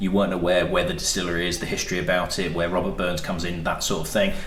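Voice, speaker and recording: Noticeable background noise and audible echo from the room surround a man as he talks. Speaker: spirits reviewer and shop owner. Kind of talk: casual review chat.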